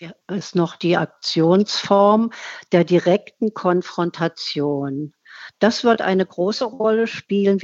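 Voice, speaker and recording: Very slowly, a woman speaks in a fairly low pitch with ordinary pitch variation. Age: 70s. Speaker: climate activist and artist. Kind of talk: interview.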